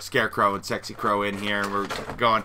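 A man at a very fast pace, with light background noise. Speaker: video host. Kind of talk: casual vlog chat.

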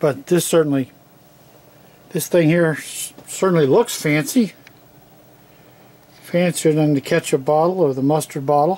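The pace is moderate. Long pauses come often. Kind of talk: casual product demo. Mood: wry, skeptical. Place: home room.

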